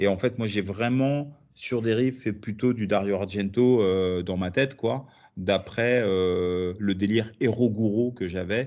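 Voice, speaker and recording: A plain, everyday voice. Its pitch varies in an ordinary way. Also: man. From France. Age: 40s. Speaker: comic book author. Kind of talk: interview.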